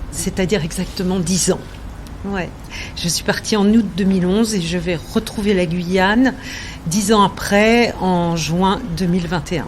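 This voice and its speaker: Slow-ish and fairly even in intonation, a woman speaks amid noticeable background noise and audible room echo. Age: 60s. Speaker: interviewee sharing life story. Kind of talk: personal testimony. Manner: hesitant, many fillers.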